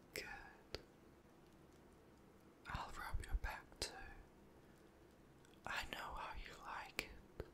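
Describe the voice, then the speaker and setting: Whispering at a very slow pace in a gentle, soothing tone, over noticeable background noise. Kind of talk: whispered comforting roleplay. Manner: gentle soothing whisper.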